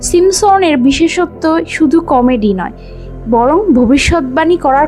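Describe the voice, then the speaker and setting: The speaker's intonation is lively. Music plays in the background. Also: woman. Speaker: voice-over artist. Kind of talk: fact narration.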